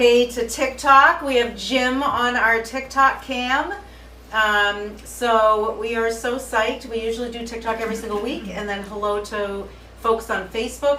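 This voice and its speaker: A woman with a Boston accent talks at a fairly slow pace in an animated tone, with audible room echo. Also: fairly high pitch for a woman. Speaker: cooking show host and spice business owner. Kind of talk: live cooking stream. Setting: home kitchen, livestream.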